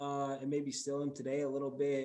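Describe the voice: A man speaks at medium pitch and a moderate pace, in a dark, mellow tone. His intonation is monotone and flat, with audible room echo.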